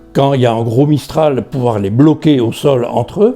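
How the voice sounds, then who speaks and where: The pace here is fairly slow. A man's tone comes across dark and mellow. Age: 70s. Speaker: retired customer giving testimonial. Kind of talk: interview testimonial. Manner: hesitant with frequent fillers.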